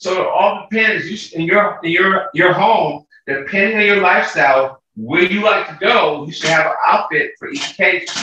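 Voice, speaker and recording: A man with an American accent uses a raised, projected voice at a high pitch, speaking at a moderate pace with hardly any pauses, ordinary pitch variation and big swings in loudness. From San Francisco, US. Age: 60s. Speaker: fashion show producer and school teacher. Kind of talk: casual chat.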